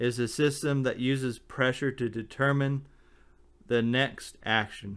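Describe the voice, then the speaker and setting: Over a silent background in a very clean recording, a man speaks with fairly even intonation. He goes at a fairly slow pace. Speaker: amateur theorist explaining physics ideas. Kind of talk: informal lecture. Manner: halting, with fillers.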